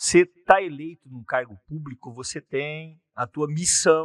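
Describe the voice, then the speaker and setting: An ordinary speaking voice from a man, fairly high in pitch, at a fairly slow pace with fairly even intonation and a dry, close sound with no echo. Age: 60s. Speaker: politician, former mayor. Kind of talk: interview.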